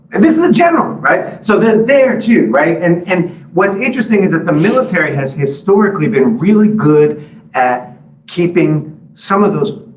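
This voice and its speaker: Over noticeable background noise and audible room echo, a man with an American accent talks in a high pitch with lively intonation. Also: moderate pace. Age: 50s. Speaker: author and journalist. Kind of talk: book talk with Q&A. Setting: library talk with live and Zoom audience. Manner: halting, many fillers.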